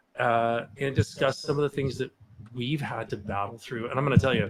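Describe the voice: A man talks fairly quickly, his pitch medium and its variation ordinary.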